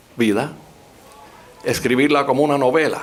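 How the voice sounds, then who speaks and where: Noticeable background noise sits behind a man speaking with a Cuban accent. His pitch is fairly high. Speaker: historian and professor. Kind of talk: public talk.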